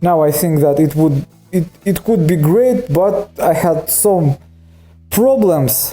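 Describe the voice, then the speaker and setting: In a Russian accent, a man speaks at a very slow pace with a fairly high pitch and a dark, mellow tone. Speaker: nail technician. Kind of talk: voice-over narration of tutorial. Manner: halting, frequent self-corrections.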